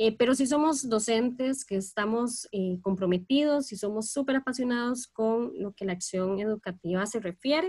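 Somewhat breathy and fairly high, a woman's voice runs at a moderate pace with lively intonation and hardly any pauses. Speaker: teacher, podcast co-host. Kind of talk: casual panel discussion.

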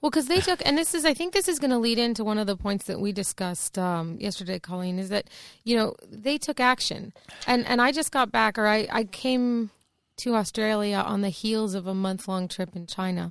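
A woman with an American accent and a normal speaking voice talks at a fairly quick pace, her pitch fairly high and her intonation lively. The recording is very clean, with a silent background. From US. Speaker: podcast co-host. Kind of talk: casual interview chat. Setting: studio.

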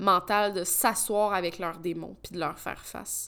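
With a Quebec accent, the voice moves at a moderate pace with ordinary pitch variation on a very clean recording with a silent background. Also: woman. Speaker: podcast host. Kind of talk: personal monologue. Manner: hesitant.

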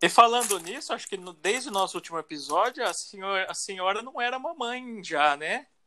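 On a very clean recording with a silent background, a man with a high, bright, sharp voice speaks in a raised, projected way with lively intonation, big swings in loudness and hardly any pauses. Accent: Brazilian. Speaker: podcast co-host. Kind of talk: casual chat.

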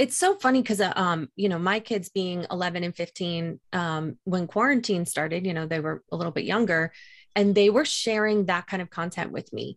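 In a quiet background, a woman speaks at a moderate pace with ordinary pitch variation. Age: 40s. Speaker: podcast host. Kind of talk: casual interview chat. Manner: animated.

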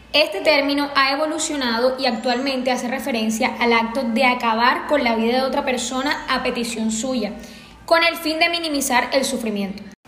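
The speech moves at a moderate pace with ordinary pitch variation. Audible room echo and noticeable background noise surround it. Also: woman, high pitch for a woman. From Colombia, Sahagún, Córdoba. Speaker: psychiatrist and researcher. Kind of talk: expert panel discussion. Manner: formal.

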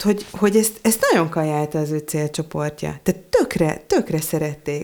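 A woman's normal speaking voice at a moderate pace. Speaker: content designer. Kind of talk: casual chat.

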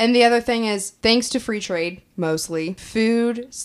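In a very clean recording with a silent background, a woman talks with a normal speaking voice, a moderate pace and ordinary pitch variation. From Kansas. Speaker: podcast co-host. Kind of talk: casual chat.

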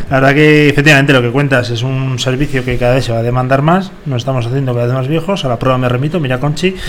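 Very fast man's speech at medium pitch with hardly any pauses, plus noticeable background noise and audible room echo. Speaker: radio host. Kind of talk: casual chat. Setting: studio. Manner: animated.

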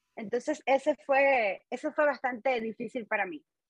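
A woman at a fairly slow pace with ordinary pitch variation, in a dry, close sound with no echo. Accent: eastern Cuban. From Cuba, Holguín (eastern Cuba). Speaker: musician and singer. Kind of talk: interview.

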